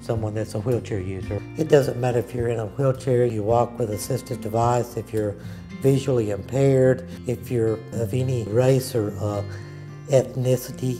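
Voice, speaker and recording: A voice with an Alabama accent is heard over clear music in the background. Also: man, fairly even intonation, moderate pace. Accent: Southern US (Alabama). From Birmingham, Alabama. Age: 60s. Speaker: retired computer programmer, wheelchair athletics coach. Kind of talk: interview answer. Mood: calm, reflective. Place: home room.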